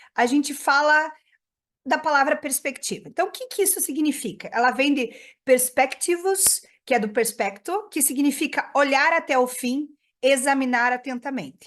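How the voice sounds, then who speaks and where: A woman's high-pitched voice with ordinary pitch variation, in a southern Brazilian accent, over a quiet background. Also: moderate pace. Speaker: radiology professor. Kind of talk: lecture.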